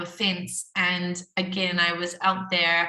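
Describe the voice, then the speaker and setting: A woman speaks with a New Zealand accent in a flat monotone. The room echo is audible. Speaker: workshop participant. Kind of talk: casual sharing in group video call.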